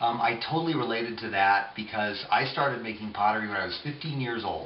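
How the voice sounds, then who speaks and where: Room echo and background noise are both noticeable. A man talks at a very fast pace, medium in pitch with ordinary variation. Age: 50s. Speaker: potter. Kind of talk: tutorial. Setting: home pottery studio. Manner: casual, with fillers and hesitations.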